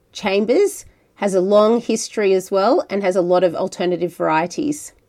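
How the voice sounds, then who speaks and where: A woman with an Australian accent at medium pitch and a moderate pace. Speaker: podcast host. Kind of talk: podcast narration and interview. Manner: friendly, conversational.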